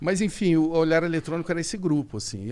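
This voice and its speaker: A man talks at a fairly quick pace. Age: 60s. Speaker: TV presenter and journalist. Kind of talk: podcast interview, casual chat.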